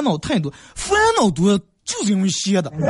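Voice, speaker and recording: High-pitched, a man's voice moves in very wide pitch swings. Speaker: radio host. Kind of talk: dialect comedy talk show monologue.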